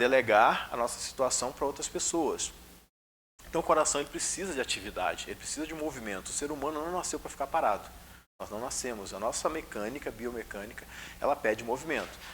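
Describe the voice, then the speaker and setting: Speaking very fast, a man uses lively intonation at a medium pitch. The recording is very clean, with a silent background. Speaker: spiritist lecturer. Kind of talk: lecture. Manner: controlled pace, usually fast.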